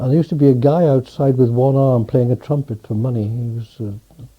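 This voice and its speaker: A man with a Welsh accent talks at a moderate pace and a medium pitch. His voice is somewhat breathy. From West Wales, Pembrokeshire. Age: 70s. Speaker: interviewee recalling his life. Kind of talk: oral history interview. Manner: halting, many repetitions.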